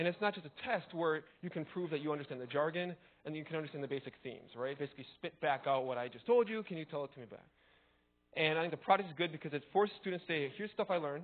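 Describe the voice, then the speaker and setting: The speaker is a man, going at a very fast pace. Lively intonation runs through his delivery. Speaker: college teacher giving a conference talk. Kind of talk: conference talk.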